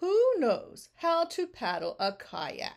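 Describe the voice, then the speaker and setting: A woman uses a put-on character voice with an extremely high pitch. She speaks at a very slow pace. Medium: read story. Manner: commanding, announcer-like.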